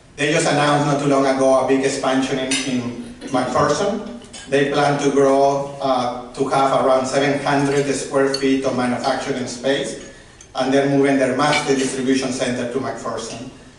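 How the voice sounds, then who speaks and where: Against noticeable background noise and audible room echo, a man with a Mexican accent talks at a fairly high pitch in a monotone, flat intonation. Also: moderate pace. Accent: Mexican Spanish accent, moderate. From Mexico. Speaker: award presenter, business professional. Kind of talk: award presentation speech.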